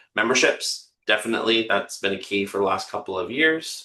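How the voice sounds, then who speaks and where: With a Canadian accent, a man talks at a fairly quick pace and medium pitch, his tone bright and sharp, his pitch variation ordinary. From Canada. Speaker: marketing firm owner and practice coach. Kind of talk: webinar presentation. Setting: webinar video call. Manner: many filler words.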